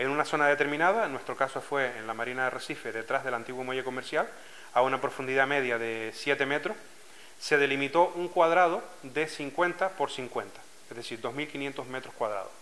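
A man with a Canarian accent talks at a moderate pace and a fairly high pitch, with ordinary pitch variation. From Canary Islands, Lanzarote (Arrecife); Canary Islands. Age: 40s. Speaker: scuba diving club president. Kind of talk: interview testimony. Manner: hesitant, with frequent fillers and repetitions. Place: office.

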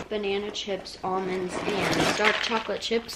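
Loud background noise fills the clip. A woman is speaking. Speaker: house sitter vlogger. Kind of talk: casual vlog chat. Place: home room. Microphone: camera far.

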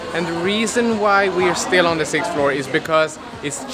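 Over clear background music, a man talks at a fairly slow pace with ordinary pitch variation.

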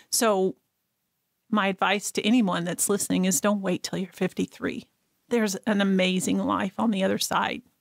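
On a very clean, dry, close recording with a silent background and no echo, a woman with an American accent speaks at a medium pitch with fairly even intonation. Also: moderate pace. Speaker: abuse survivor and nonprofit founder. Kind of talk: personal testimony in interview. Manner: loud laugh.

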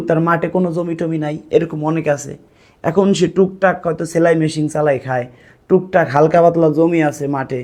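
This is a man speaking. His pitch is high. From Bangladesh. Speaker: matchmaking YouTuber. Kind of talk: vlog address to viewers. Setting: at home with camera.

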